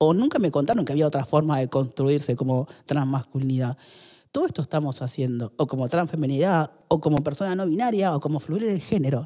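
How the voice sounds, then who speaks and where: Against a quiet background, a man speaks at a fairly quick pace with a dark, mellow tone. His pitch is fairly high, with ordinary variation. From Argentina, Córdoba (born in Salta); Argentina. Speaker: podcast guest. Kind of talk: interview. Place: studio. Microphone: studio mic.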